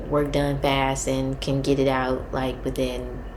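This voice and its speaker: A soft-spoken woman talks with a very deep, low pitch. Audible room echo surrounds her voice. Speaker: vlogger, grad student and data analyst. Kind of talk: casual advice vlog. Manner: halting, many fillers.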